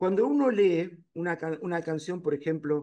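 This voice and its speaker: A man's pitch swings very widely. He speaks at a fairly slow pace. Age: 60s. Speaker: painter. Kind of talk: lecture discussion.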